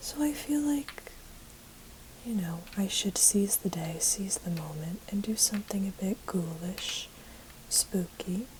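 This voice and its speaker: A soft-spoken woman at medium pitch talks fairly slowly with lively intonation. Long, frequent pauses break her speech, and there is noticeable background noise. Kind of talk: ASMR, soft-spoken talk to camera while painting nails.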